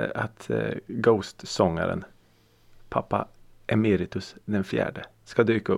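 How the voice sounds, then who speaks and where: A man's voice with vocal fry, on a very clean recording with a silent background. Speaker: podcast host. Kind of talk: casual chat. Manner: occasional groans and sighs from back pain.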